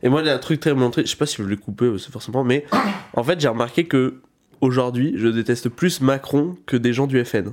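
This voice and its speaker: A man speaks in a normal speaking voice at medium pitch, with a fairly quick pace and ordinary pitch variation. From France, rural village. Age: 20s. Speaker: podcast host and stand-up comedian. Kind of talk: casual chat.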